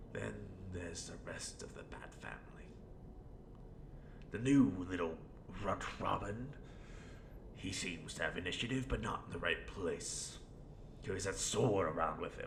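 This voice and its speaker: Put-on character voice at a moderate pace, long, frequent pauses and loud background noise. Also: man, very deep, low pitch for a man. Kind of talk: audio role play monologue. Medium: role play. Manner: rambling, theatrical.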